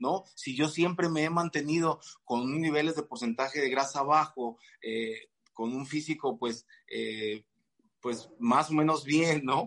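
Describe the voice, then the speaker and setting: Speaking at a very slow pace with a Mexican accent, a man with a fairly high pitch shows ordinary pitch variation. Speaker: fitness coach and physique competitor. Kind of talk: casual chat. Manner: halting, many repeated words.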